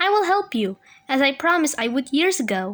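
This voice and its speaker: A woman uses a put-on character voice with a gentle tone and a high pitch. The pace is fairly quick, and the recording is very clean with a silent background. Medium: read story.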